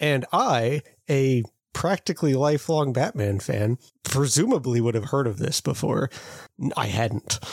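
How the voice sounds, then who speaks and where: In a very clean recording with a silent background and a dry, close sound with no echo, a man speaks at medium pitch and a moderate pace, somewhat breathy, with ordinary pitch variation and very even loudness. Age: 30s. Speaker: podcast co-host. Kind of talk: casual chat.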